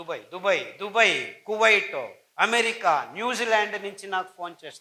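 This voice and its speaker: A man with a high-pitched voice speaks in a raised, projected way with a bright, sharp tone. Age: 60s. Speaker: doctor and diet advocate. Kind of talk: health talk / lecture.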